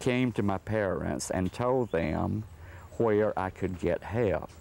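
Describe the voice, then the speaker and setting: Speaking very slowly in an Alabama accent, this man has a dark, mellow tone. The recording is very clean and the background silent. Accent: Southern US (Alabama). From US South, northwest Alabama. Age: 70s. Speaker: sculptor. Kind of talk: documentary interview.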